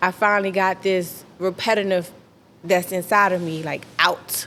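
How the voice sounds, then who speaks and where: A woman's fairly low voice at a fairly slow pace. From DMV area (Maryland, DC). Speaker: independent R&B/hip hop artist. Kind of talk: interview. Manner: casual, slightly halting.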